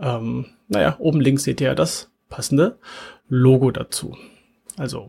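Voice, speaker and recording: The voice has a dark, mellow tone and vocal fry, moving at a fairly slow pace with long, frequent pauses. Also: man. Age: 40s. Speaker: podcast host and engineering manager. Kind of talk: webinar presentation; podcast monologue. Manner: casual with filler words.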